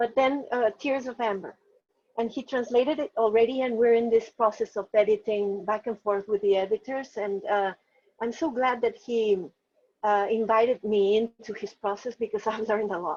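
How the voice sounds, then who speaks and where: A woman with a Spanish accent at a moderate pace, her intonation fairly even. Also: fairly high pitch for a woman, dry, close sound with no echo. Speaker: novelist. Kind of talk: interview. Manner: halting, many fillers and restarts.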